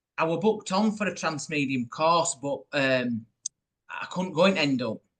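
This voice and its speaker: Speaking in a Yorkshire accent, a man uses lively intonation and a fairly high pitch. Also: moderate pace. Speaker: podcast host. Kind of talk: casual interview.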